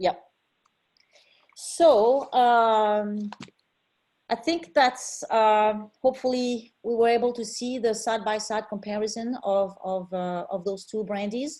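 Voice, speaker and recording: A woman with a strong French accent speaks very slowly at a fairly high pitch, with a dark, mellow tone, ordinary pitch variation and long, frequent pauses against a quiet background. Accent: thick French. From France, Cognac region. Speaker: spirits importer. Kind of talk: tasting presentation.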